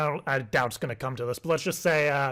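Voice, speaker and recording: A man with a plain, everyday voice speaks at a fairly high pitch with ordinary pitch variation in a very clean recording with a silent background. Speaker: prank caller. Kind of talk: prank call.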